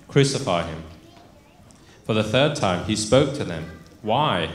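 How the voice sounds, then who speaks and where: A man talks at a fairly slow pace and a fairly low pitch, with lively intonation. Audible room echo surrounds his voice. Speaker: pastor. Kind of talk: scripture reading in a sermon. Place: church. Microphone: handheld.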